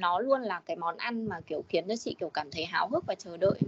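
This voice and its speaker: At a fairly quick pace, a woman with an unremarkable speaking voice and a medium pitch talks with lively intonation. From Điện Biên, northern Vietnam. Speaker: communications staff, home cook. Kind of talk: casual chat.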